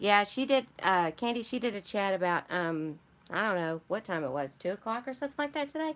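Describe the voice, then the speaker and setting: A woman with a Michigan accent, medium pitch and very wide pitch swings, at a fairly quick pace, in a very clean recording with a silent background. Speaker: junk journal crafter, live streamer. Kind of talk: live stream chat with viewers, product haul. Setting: live stream. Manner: casual, chatty.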